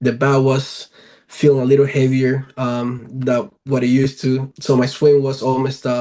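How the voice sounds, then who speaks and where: A man talks in a dark, mellow tone. His intonation is monotone and flat. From Venezuela. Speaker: professional baseball player. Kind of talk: podcast interview. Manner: hesitant, many fillers.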